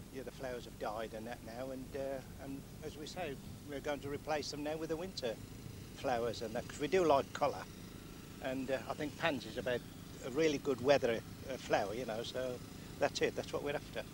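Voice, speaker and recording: Talking at a fairly quick pace with long, frequent pauses, a man uses a medium pitch and ordinary pitch variation, his loudness swinging widely. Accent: Birmingham. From Birmingham, England. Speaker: fair visitor. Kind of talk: vox pop interview.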